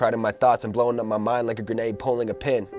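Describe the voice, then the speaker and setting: Over music in the background, a man talks at a fairly quick pace in a medium pitch with monotone, flat intonation. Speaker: spoken word poet. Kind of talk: spoken word poetry performance over music.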